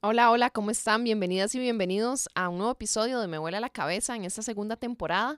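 A woman's voice with ordinary pitch variation sounds dry and close with no echo, in a very clean recording with a silent background. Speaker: podcast host, sports journalist. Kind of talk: interview.

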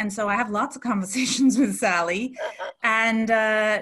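With a plain, everyday voice, this woman talks at a fairly slow pace, her pitch fairly high and her intonation fairly even. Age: 40s. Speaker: coach and business owner. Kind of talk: interview.

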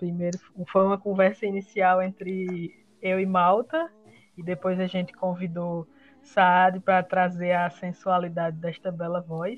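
Her medium-pitched voice stays monotone and flat as the woman speaks at a fairly slow pace. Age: 20s. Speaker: podcast co-host, design student. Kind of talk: casual chat.

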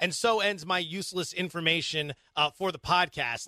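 A man with an American accent projects a raised voice in a bright, sharp tone with ordinary pitch variation, on a very clean recording with a silent background and a dry, close sound with no echo. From Pennsylvania (Allentown). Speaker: sports betting podcast host.

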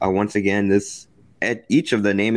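This man's voice sits at a fairly low pitch. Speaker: sports podcast host. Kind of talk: sports talk podcast discussion.

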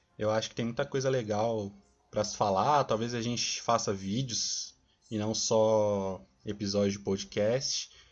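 Fairly low-pitched male speech at a fairly slow pace, fairly even in intonation, with music in the background. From São Paulo, Brazil. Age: 20s. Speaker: podcast co-host, engineering student. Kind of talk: casual chat.

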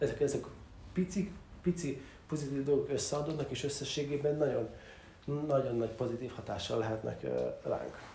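A man at a fairly high pitch and a fairly quick pace, ordinary pitch variation, long and frequent pauses, audible room echo, and noticeable background noise. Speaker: podcast host. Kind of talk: solo monologue on self-improvement. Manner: hesitant with many fillers.

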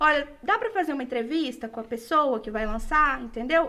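A woman with a high pitch and lively intonation talks at a fairly quick pace against noticeable background noise. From Minas Gerais, Brazil. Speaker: journalist and museum communications coordinator. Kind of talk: casual interview. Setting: podcast studio, live.

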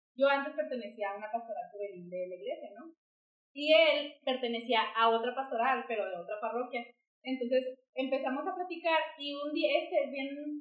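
Over music in the background, a woman with a high pitch talks at a moderate pace, her intonation lively and her loudness swinging widely. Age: 20s. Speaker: podcast co-host sharing personal story. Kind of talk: casual chat.

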